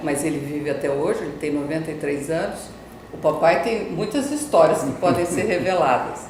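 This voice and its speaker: Lively intonation is heard amid noticeable background noise and audible room echo. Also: woman. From Campo Grande, Mato Grosso do Sul, Brazil. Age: 60s. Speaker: journalist and businesswoman. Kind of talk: interview testimony. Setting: TV studio. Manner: halting.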